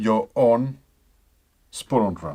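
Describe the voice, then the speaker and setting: A man with a non-native accent in a very clean recording with a silent background. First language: not English. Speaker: musician demonstrating instrument tuning. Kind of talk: tutorial. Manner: halting.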